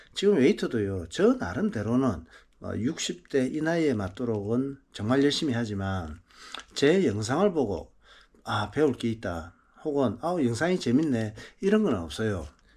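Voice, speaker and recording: A man talks at a medium pitch and a fairly slow pace. His voice moves in very wide pitch swings. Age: 60s. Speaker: marathon running vlogger. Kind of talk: casual vlog talk.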